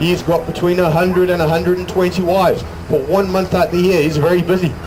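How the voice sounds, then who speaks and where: A man with a high pitch talks at a very fast pace, with audible room echo and noticeable background noise. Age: 60s. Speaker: sheep show presenter. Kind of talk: live stage show with audience banter. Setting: stage with outdoor audience. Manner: animated. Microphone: poor sound quality.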